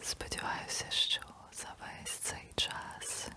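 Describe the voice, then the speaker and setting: Noticeable background noise is present. Through it, a woman whispers. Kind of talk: ASMR whispered ramble to camera. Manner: whispered, soft-spoken.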